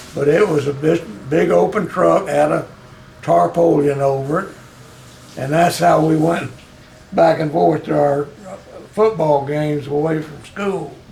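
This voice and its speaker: A man's fairly high voice at a fairly slow pace, with ordinary pitch variation, long, frequent pauses and noticeable background noise. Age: 80s+. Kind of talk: interview answer.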